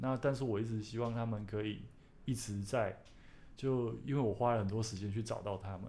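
A man's dark, mellow tone at a fairly quick pace, with audible room echo. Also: medium pitch for a man, fairly even intonation. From Taiwan, Taichung. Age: 30s. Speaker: author and plant collector. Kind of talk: casual chat. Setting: studio.

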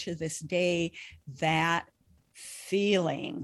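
In a very clean recording with a silent background, a woman has an ordinary speaking voice, fairly low in pitch, with ordinary pitch variation. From northern Minnesota. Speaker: grief educator and bereaved parent. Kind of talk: interview testimony.

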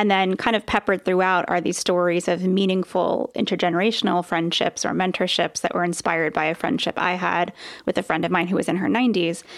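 A woman talks at a very fast pace with a medium pitch. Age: 40s. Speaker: author and former business owner. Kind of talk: casual chat.

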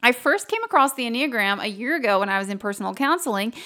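A woman's fairly high, bright, sharp voice in an upbeat, enthusiastic tone. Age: 30s. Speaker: podcast host. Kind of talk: solo podcast monologue. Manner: upbeat and enthusiastic.

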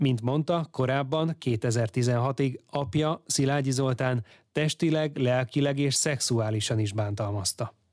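A man at medium pitch with ordinary pitch variation, very even loudness, a very slow pace and hardly any pauses, in a dry, close sound with no echo on a very clean recording with a silent background. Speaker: radio host. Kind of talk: news reading. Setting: studio.

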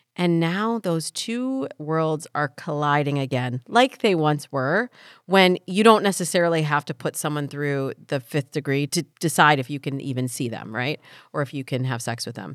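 In a very clean recording with a silent background, a woman with a very deep, low pitch talks at a moderate pace with lively intonation. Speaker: dating advice podcast host.

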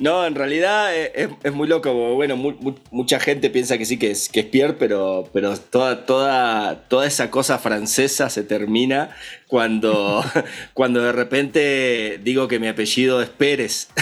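With an Argentine accent, this speaker talks at a fairly slow pace using ordinary pitch variation. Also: man, medium pitch for a man. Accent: Argentine Spanish (voseo, che). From Argentina, Patagonia (Villa Regina). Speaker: audio engineer and music producer. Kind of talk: casual interview.

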